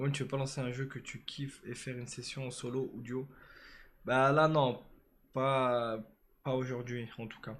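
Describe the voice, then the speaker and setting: A man speaks at a fairly slow pace and medium pitch, his intonation monotone and flat. His loudness swings widely. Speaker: live streamer. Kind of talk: casual live stream chat.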